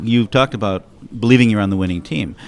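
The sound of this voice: A man at a fairly low pitch, fast in pace, with ordinary pitch variation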